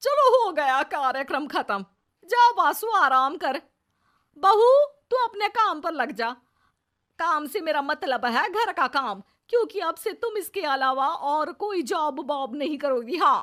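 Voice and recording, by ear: Putting on a character voice, a woman speaks slowly in a high, fairly bright tone with lively intonation.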